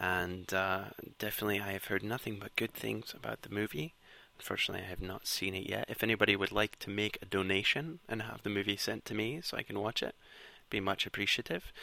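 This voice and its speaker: Talking very fast in a Scottish accent, a man with a fairly low pitch and vocal fry has a bright, sharp tone and ordinary pitch variation. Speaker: podcast host. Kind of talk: music show presenting. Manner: casual, filler-heavy.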